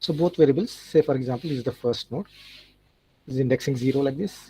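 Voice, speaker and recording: In a dry, close sound with no echo, a man talks at a very fast pace and a fairly high pitch. His voice is somewhat breathy with a dark, mellow tone and ordinary pitch variation. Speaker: lecturer. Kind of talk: lecture.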